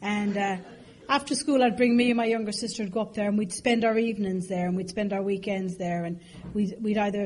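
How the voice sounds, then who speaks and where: A woman with an Irish accent, medium pitch and a fairly quick pace, with audible room echo. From Ireland, raised partly in London. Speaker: AA speaker. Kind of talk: recovery talk to an audience. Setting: stage with audience. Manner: animated, humorous storytelling.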